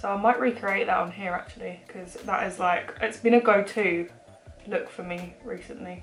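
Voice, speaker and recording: A woman at medium pitch and moderate pace, intonation fairly even, with music in the background. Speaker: beauty vlogger. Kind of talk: makeup tutorial. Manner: casual, hesitant with fillers.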